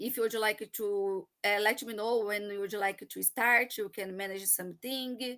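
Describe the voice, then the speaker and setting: With a Brazilian accent, a woman speaks in a bright, sharp tone at a fairly high pitch and with fairly even intonation. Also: moderate pace. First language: Portuguese. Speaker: marketing professional, immigrant. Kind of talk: personal story in a live chat. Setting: live online broadcast. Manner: halting, hesitant.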